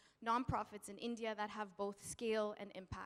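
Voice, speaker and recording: This woman has an ordinary speaking voice and a Canadian accent. Her pitch is fairly high and her pace moderate. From Canada. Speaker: nonprofit founder, panelist. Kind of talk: panel talk. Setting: stage with audience.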